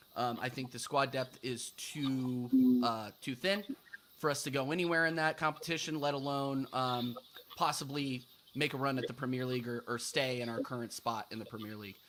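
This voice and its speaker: A man with an American accent speaks at a moderate pace and medium pitch, with ordinary pitch variation. Noticeable background noise runs underneath. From United States. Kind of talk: casual live-stream football talk show.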